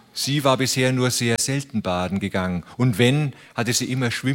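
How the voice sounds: What comes through here is a natural reading voice.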